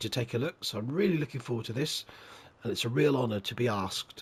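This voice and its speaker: Speaking at a fairly quick pace, a man with a medium pitch and lively intonation sounds somewhat breathy. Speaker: gaming video creator. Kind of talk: game commentary. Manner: conversational, relaxed.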